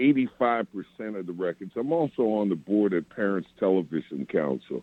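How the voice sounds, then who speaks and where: Moderate pace from a man in an American accent, fairly low pitch with very wide pitch swings. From New York City (Queens). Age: 60s. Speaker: radio program director. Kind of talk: interview conversation.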